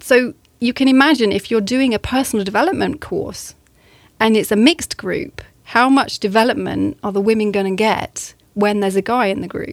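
A woman with a southern English accent, on a very clean recording with a silent background, the sound dry and close with no echo. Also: fairly high pitch for a woman, ordinary pitch variation, moderate pace. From southern England. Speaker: English teacher and coach. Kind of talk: interview.

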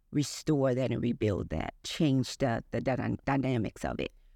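A woman speaks at a fairly slow pace with an American accent. Her pitch varies in an ordinary way against a quiet background. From East St. Louis, Illinois. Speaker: business owner. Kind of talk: interview.

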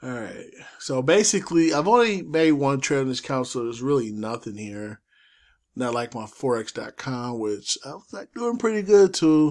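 On a very clean recording with a silent background, a fairly high-pitched man talks at a moderate pace, with very wide pitch swings and big swings in loudness. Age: 40s. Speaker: forex trading YouTuber. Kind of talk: casual screen-share tutorial. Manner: casual, loose delivery with fillers.

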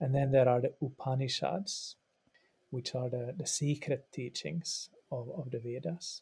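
The voice has a dark, mellow tone and is somewhat breathy, with a Swedish accent. It moves at a fairly slow pace with ordinary pitch variation. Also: man, medium pitch for a man. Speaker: religious studies professor and yoga practitioner. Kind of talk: interview, explanatory. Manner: halting, with repetitions.

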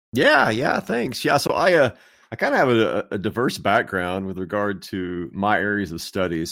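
Here is a man with an ordinary speaking voice and fairly low pitch that varies in an ordinary way. The recording is very clean, with a silent background. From Texas. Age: 50s. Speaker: theologian and author. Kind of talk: casual interview.

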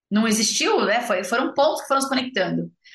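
Very fast and with lively intonation, a woman speaks. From São Paulo, Brazil. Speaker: agribusiness entrepreneur. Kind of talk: interview conversation.

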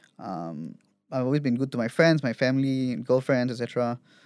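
A man with a normal speaking voice talks at a medium pitch and a fairly quick pace in a very clean recording with a silent background. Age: 30s. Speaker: entrepreneur sharing mental health story. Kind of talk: interview, personal testimony.

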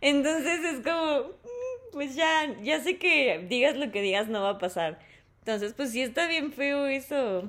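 A woman speaks at a fairly slow pace, her voice moving in very wide pitch swings. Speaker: podcast host. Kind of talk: casual chat.

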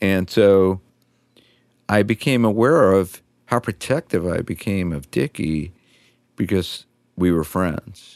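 With an American accent, a man speaks very slowly in a very deep, low voice, leaving long, frequent pauses. His intonation is lively, and the recording is very clean, silent in the background, dry and close with no echo. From New York City, Queens. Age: 60s. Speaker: music journalist and guitarist. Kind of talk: interview.

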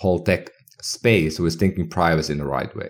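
A man's very deep, low voice with a Finnish accent. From northern Finland. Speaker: health tech entrepreneur. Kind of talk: casual interview. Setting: remote call.

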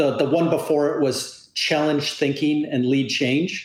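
A man with a Canadian accent has an unremarkable speaking voice, with a fairly high pitch at a moderate pace. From Canada. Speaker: industry analyst. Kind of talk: interview. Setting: remote call.

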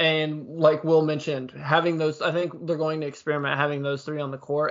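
This man talks at a fairly quick pace with a fairly high pitch and a plain, everyday voice. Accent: American. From southern Illinois. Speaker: sports podcast co-host. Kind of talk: casual chat.

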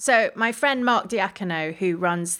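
On a very clean recording with a silent background, a woman speaks at a very slow pace with medium pitch. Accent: London. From London, England. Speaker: gardener and writer. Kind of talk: casual interview chat. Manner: hesitant, many fillers and repeats.

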